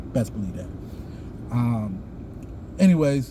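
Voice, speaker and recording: A man with an American accent speaks at a medium pitch amid audible room echo. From US South. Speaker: YouTuber, Freemason. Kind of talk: casual vlog monologue. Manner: halting, many fillers.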